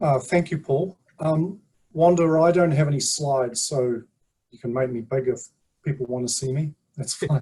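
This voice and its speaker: Speaking with a New Zealand accent, a man uses a fairly high, somewhat breathy voice at a moderate pace, with ordinary pitch variation, big swings in loudness and long, frequent pauses. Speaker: sleep scientist. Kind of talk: presentation at online community meeting. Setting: video call.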